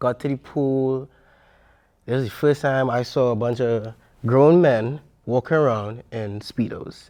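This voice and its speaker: Against a quiet background, a man with a dark, mellow tone talks at a fairly slow pace, leaving long, frequent pauses. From Trinidad, Diego Martin. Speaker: water polo player. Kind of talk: interview. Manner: animated.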